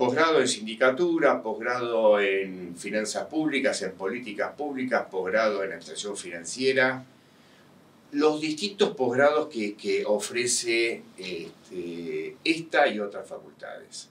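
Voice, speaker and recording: Speaking with a Rioplatense accent, a man uses a medium pitch with very wide pitch swings. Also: fairly slow pace. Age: 60s. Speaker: university professor, tax specialist. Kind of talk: interview. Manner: hesitant, many fillers.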